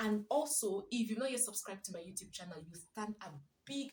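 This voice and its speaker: The speech is somewhat breathy, with ordinary pitch variation. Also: woman. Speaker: parenting vlogger. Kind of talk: casual vlog talk. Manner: soft-spoken.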